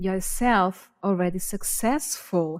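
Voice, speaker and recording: Speaking at a very slow pace, a woman talks with a Portuguese accent. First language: not English. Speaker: podcast co-host. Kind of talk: casual chat.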